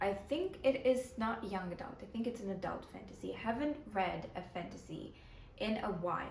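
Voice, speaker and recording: Audible room echo surrounds a woman speaking at a moderate pace with lively intonation. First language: Ukrainian. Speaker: book vlogger. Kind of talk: casual vlog talk to camera.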